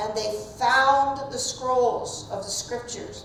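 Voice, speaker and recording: A woman's high-pitched voice in a southeastern Ohio accent, very slow and fairly even in intonation, with noticeable background noise and audible room echo. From US Midwest, southeastern Ohio. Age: old. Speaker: Bible teacher. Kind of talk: Bible class lecture. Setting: church classroom, also streamed. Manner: conversational.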